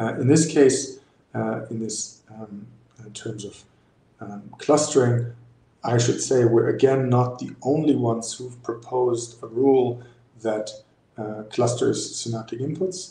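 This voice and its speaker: Amid audible room echo, a man speaks with fairly even intonation, long, frequent pauses and big swings in loudness. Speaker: neuroscience researcher. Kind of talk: lecture. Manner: halting, many fillers.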